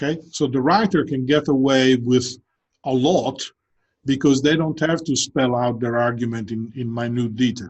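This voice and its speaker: At a moderate pace, a man talks with ordinary pitch variation. His voice sits at a medium pitch. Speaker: professor. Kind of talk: lecture. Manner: conversational with many fillers and repetitions.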